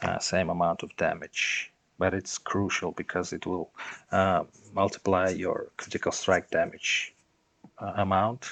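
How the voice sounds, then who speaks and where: Against a quiet background, the speaker talks at a fairly slow pace with a non-native accent, the sound dry and close with no echo. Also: man. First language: not English. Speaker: gaming content creator. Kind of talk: gameplay tutorial. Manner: halting, many fillers.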